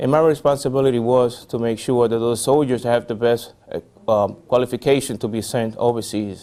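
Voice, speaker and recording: A man talks with a Spanish accent in a medium pitch. His pace is fairly quick. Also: fairly even intonation. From Puerto Rico. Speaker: army veteran. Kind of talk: interview. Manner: halting, many fillers.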